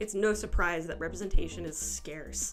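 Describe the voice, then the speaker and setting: A woman's speech moves fairly quickly. Music can be heard behind her. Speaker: amateur video essayist. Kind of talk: video essay voice-over. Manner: casual, sarcastic.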